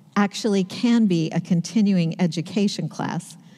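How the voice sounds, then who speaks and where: A woman with a dark, mellow, somewhat breathy tone speaks at a very slow pace against a quiet background. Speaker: pastor preaching. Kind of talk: sermon. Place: church.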